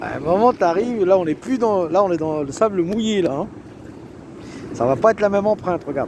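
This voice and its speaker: A man with a high-pitched voice and an animated tone speaks at a fairly quick pace with lively intonation and long, frequent pauses, over noticeable background noise. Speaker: self-proclaimed preacher vlogger. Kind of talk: casual monologue, religious warning vlog. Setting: outdoors on a beach.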